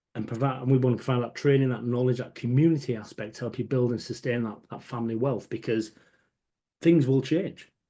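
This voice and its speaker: A man with a Hull accent talks at a very fast pace, his pitch medium and his intonation fairly even. His tone is dark and mellow. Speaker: pension adviser. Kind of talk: webinar presentation.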